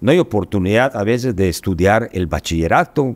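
Intonation here is lively, and the tempo is moderate. Nothing can be heard in the background. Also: man. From Yucatán, Mexico. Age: 60s. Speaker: state education official and businessman; guest. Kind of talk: podcast interview. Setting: studio. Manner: halting, many repetitions and fillers. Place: studio. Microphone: studio mic.

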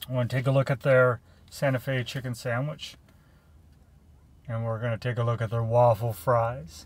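With long, frequent pauses, a man speaks at a moderate pace in a somewhat breathy voice, and the sound is dry with no echo. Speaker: food reviewer. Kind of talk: casual chat. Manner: animated. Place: car. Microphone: phone near.

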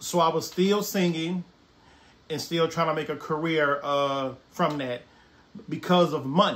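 A man with a Southern US accent speaks at a fairly slow pace. His pitch is fairly high, with ordinary variation. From Brookhaven, Mississippi. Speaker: artist and former sous chef. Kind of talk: personal life story told to camera. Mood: reflective, earnest. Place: home room.

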